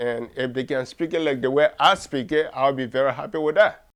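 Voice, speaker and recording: A man speaks with a West African accent. His pace is moderate. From Liberia. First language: Mandingo. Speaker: writer and cultural activist. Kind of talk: interview.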